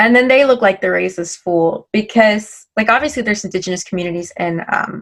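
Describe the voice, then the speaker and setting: Speaking with an American accent, a woman with a normal speaking voice talks at a medium pitch and moderate pace. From Miami, Florida. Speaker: panel guest. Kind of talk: casual chat.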